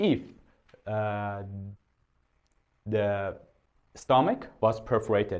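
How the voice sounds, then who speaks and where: A man with a Persian accent speaks at a very slow pace and a fairly low pitch, with long, frequent pauses. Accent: non-native English, Persian. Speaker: doctor. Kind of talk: medical lecture. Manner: halting, many filler sounds.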